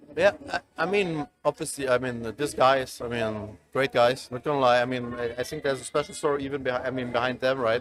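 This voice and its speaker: A man speaks at a fairly quick pace with a German accent. His pitch is medium, with ordinary variation. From East Germany. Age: 30s. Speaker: esports executive. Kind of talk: interview. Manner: halting.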